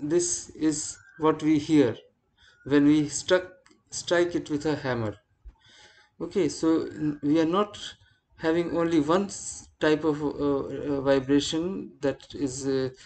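Speech comes at a very slow pace with long, frequent pauses. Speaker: university lecturer. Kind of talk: lecture. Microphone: video call.

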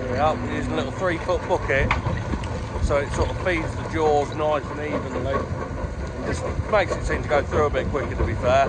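Loud background noise behind a man's dry, echo-free voice at a moderate pace. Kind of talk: casual vlog walkaround explanation. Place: open country. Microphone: phone near.

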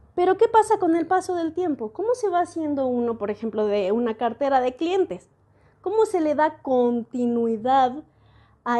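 A woman's high pitch with very wide swings, a dark, mellow tone and a fairly slow pace, over a quiet background. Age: 40s. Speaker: educational video host and translator; educational video host. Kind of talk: educational monologue. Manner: reflective, conversational. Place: home room. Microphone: earbuds.

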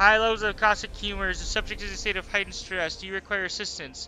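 Over clear background noise, a man puts on a high-pitched character voice and talks very fast. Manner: clinical, robotic.

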